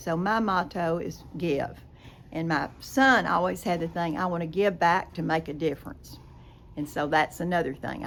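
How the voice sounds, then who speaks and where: A woman speaks with an East Texas accent at a moderate pace. Her fairly low voice has vocal fry. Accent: East Texas Southern. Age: 80s+. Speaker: former college dancer and business owner. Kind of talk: interview. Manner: animated.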